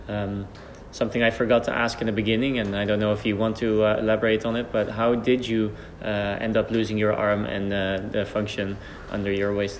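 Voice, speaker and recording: With light background noise, a man with a fairly low pitch speaks in a monotone, flat intonation with a Dutch accent. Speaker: archer and channel host. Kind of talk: interview. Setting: training centre. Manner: halting. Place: hall.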